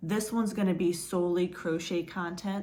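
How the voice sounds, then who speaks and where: Audible room echo surrounds a woman whose somewhat breathy, medium-pitched voice moves at a moderate pace. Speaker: crochet vlogger. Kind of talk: casual vlog chat.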